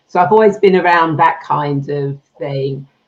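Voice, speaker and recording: A woman with a British accent, moderate pace and ordinary pitch variation. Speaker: spiritual healer, past life regression therapist. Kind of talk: interview.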